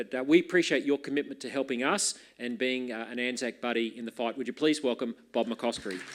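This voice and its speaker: With an Australian accent, a man speaks at a fairly quick pace and a medium pitch with ordinary pitch variation, on a very clean recording with a silent background. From Queensland, Australia. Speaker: party leader introducing speaker. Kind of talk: conference introduction speech.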